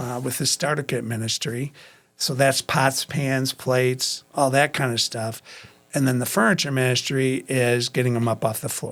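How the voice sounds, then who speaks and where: A man at medium pitch, moderate pace and fairly even intonation, captured in a very clean recording over a silent background. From Waukegan, Illinois. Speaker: pastor and ministry director. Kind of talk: interview answer.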